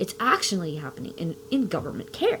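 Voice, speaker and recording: Over noticeable background noise, a woman talks at a moderate pace with very wide pitch swings. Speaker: parent giving testimony. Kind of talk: testimony. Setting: video with face mask.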